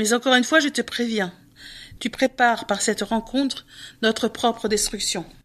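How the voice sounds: Fairly even intonation in a natural reading voice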